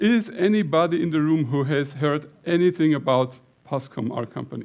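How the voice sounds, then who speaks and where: A man with a Bavarian accent, fairly high in pitch, at a fairly slow pace. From Lower Bavaria, Germany. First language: German (Lower Bavarian dialect). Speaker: company CEO presenting at a tech conference. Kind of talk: conference talk. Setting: stage with audience. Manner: halting.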